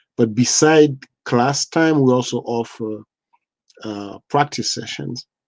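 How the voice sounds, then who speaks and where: Dry and close with no echo, a man's voice has a dark, mellow tone over a quiet background. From Haiti, Mirebalais. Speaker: nonprofit co-founder. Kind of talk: podcast interview. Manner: halting, many fillers.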